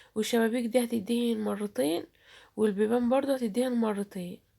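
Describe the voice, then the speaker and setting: Her tone dark and mellow, a woman speaks at a moderate pace in a fairly high pitch with ordinary pitch variation. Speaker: YouTuber. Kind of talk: vlog narration.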